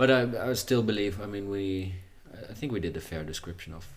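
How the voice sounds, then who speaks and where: Talking at a very fast pace, a man with a Dutch accent sounds somewhat breathy, his fairly low pitch moving with ordinary variation. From Netherlands. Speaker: podcast host. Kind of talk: casual interview chat.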